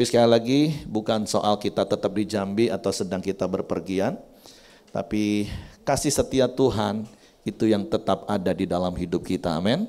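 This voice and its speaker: At a moderate pace, a man talks in a dark, mellow tone with a fairly low pitch and ordinary pitch variation. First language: Javanese (speaking Indonesian). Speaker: pastor. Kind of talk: sermon. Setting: church.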